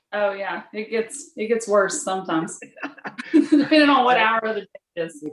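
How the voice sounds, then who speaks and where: Delivered at a moderate pace with lively intonation and big swings in loudness, this voice comes with a Texas accent. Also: woman, fairly high pitch for a woman. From Texas, rural. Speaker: inventor and teacher. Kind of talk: interview.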